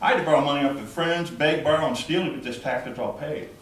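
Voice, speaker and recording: A man speaks very fast, with noticeable background noise and audible room echo around him. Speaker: taxpayer at public meeting. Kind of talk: public comment. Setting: county commission meeting. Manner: loud.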